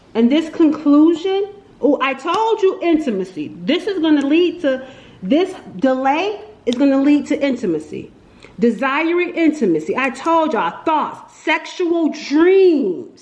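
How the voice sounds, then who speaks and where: Quiet and high-pitched, a woman speaks with lively intonation over noticeable background noise. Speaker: tarot reader. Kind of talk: tarot reading monologue. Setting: at home, window open. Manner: casual, filler-heavy; animated, got loud then quieter.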